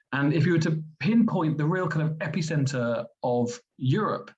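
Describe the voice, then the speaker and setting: Male speech in a London accent, at a moderate pace with ordinary pitch variation. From England, London. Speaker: medical school vice dean. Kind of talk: presentation. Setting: webinar.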